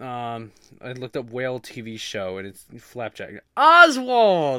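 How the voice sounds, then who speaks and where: A man with a medium pitch speaks in a bright, sharp, animated tone with lively intonation. The recording is very clean with a silent background. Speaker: podcast host. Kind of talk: casual solo podcast monologue. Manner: informal, filler-heavy, animated.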